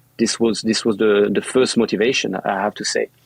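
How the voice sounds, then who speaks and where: A medium-pitched man with a French accent at a moderate pace, in a dry, close sound with no echo. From central France. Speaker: yacht chef. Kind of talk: interview. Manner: halting, many repetitions.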